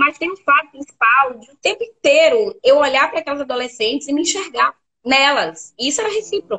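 A woman's high-pitched, raised and projected voice with a bright, sharp tone and a Bahian accent, at a fairly quick pace, in a dry, close recording with no echo. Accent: Bahian Brazilian Portuguese. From Bahia, Brazil (Feira de Santana). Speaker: educator and researcher. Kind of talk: interview on a live stream. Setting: live online stream.

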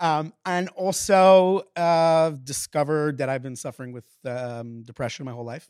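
With hardly any pauses, the speech shows big swings in loudness and ordinary pitch variation, in a dry, close sound with no echo and a very clean recording with a silent background. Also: man, fairly high pitch for a man, moderate pace. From US, Queens, New York. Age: 30s. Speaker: podcast guest sharing mental health story. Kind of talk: personal testimony in conversational interview. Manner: halting, many fillers and restarts.

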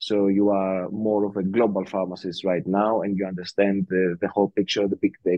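A man speaks with a Greek accent. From Greece. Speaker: podcast host. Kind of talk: casual chat.

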